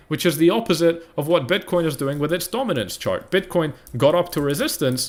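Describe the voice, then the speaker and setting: Lively and fairly quick, a man speaks in a high voice. The recording is very clean with a silent background. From UK. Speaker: crypto trading analyst streamer. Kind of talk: live stream market analysis. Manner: fast; animated.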